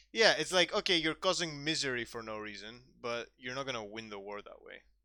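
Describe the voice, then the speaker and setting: Over a very clean recording with a silent background, a man talks at a fairly quick pace with medium pitch and a bright, sharp tone. His intonation is lively, with big swings in loudness. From Greece, Athens. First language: Greek. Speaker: streamer. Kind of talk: casual chat. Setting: live stream.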